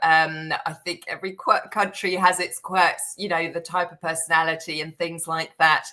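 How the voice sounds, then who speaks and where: A woman's fairly low, monotone voice with flat intonation, in a British accent at a moderate pace. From Netherlands, teenage years in the UK. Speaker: serviced apartment booking agency professional. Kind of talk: podcast interview.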